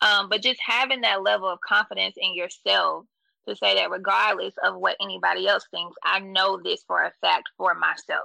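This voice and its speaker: Here a woman speaks with an American accent at a moderate pace. The recording sounds dry and close, with no echo. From US South. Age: 30s. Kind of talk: casual interview conversation.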